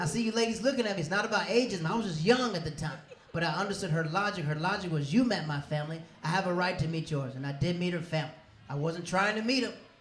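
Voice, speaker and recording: A man with an American accent talks at a very fast pace with lively intonation. The room echo is audible and so is the background noise. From US South, Tampa, Florida. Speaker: comedian. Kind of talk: stand-up. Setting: stage with audience.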